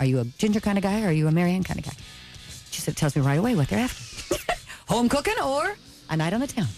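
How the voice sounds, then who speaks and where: A woman at a very fast pace, dry with no echo, faint music in the background. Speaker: guest actress on book tour. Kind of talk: interview answer. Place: studio.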